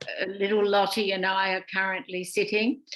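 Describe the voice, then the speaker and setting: A woman with an Australian accent speaks at medium pitch in a bright, sharp tone. Her intonation stays monotone and flat against a quiet background. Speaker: emeritus professor of education. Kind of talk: panel presentation. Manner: loud.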